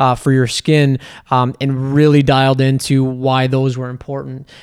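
With a Canadian accent, a man talks at a moderate pace in a medium pitch with monotone, flat intonation. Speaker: skincare entrepreneur. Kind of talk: casual chat.

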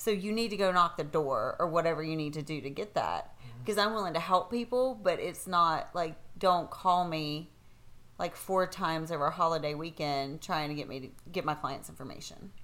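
A woman with a plain, everyday voice talks fairly quickly at a fairly low pitch, using ordinary pitch variation. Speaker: real estate agent and podcast co-host.

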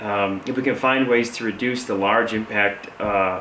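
Fairly even intonation in an Upper Midwest accent, with audible room echo and noticeable background noise. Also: man. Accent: Upper Midwest American. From Michigan, Saginaw. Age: young. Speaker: construction entrepreneur. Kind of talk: interview. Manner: halting.

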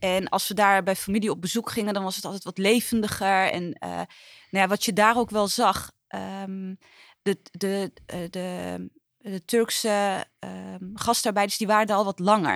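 A woman speaks at a moderate pace in a medium pitch. Her intonation is flat and monotone, and the sound is dry and close with no echo. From Netherlands, Utrecht. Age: 30s. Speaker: trade union official. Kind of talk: interview. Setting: studio.

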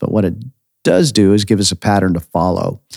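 A man's fairly low voice at a very fast pace, with an American accent. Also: dry, close sound with no echo. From United States. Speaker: pastor and podcast host. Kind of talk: sermon-style podcast teaching.

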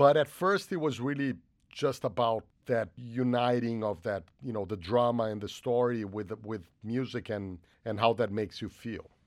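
Someone with a Portuguese accent speaks at a moderate pace with ordinary pitch variation in a very clean recording with a silent background. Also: man, medium pitch for a man. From Brazil. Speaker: film composer. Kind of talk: interview.

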